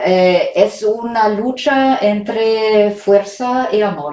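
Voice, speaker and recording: A woman with a German accent, hardly any pauses in her speech. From Germany. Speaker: writer and documentary maker. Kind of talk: interview. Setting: remote interview from home. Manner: halting, many hesitations.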